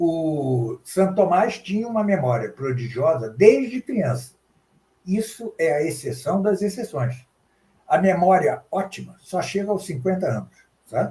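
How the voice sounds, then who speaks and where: A man at a fairly slow pace, high-pitched with very wide pitch swings. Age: 70s. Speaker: professor and translator. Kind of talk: interview.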